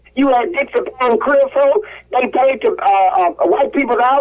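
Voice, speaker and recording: A woman with an American accent, high-pitched with very wide pitch swings, at a moderate pace over noticeable background noise. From Mississippi. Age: 80s+. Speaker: caller. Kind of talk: radio call-in talk. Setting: phone call.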